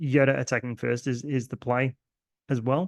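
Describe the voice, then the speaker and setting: The voice has an Australian accent, with a dry, close sound and no echo. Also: man. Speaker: card game content creator. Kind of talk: gameplay commentary. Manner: hesitant, many fillers.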